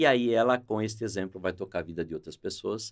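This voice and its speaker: A man with vocal fry at a fairly quick pace. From Brazil, São Paulo. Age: 60s. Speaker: sales executive. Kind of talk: podcast interview.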